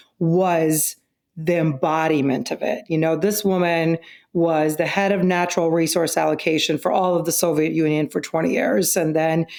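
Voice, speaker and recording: A woman's fairly low voice at a moderate pace, with ordinary pitch variation, in a very clean recording with a silent background. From Russia (Moscow), moved to US at 11. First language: Russian. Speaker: company CEO. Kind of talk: interview.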